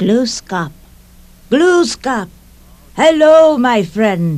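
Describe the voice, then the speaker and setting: At a very slow pace, a put-on character voice rises fairly high, with very wide pitch swings. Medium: read story.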